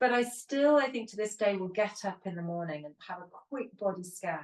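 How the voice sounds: A woman talks at a fairly quick pace with lively intonation. Her pitch is medium.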